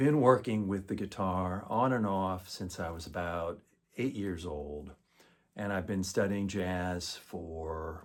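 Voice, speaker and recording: A man's very deep, low voice at a fairly slow pace, with ordinary pitch variation and big swings in loudness. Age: 60s. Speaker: guitarist, music student. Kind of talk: testimonial. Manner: formal.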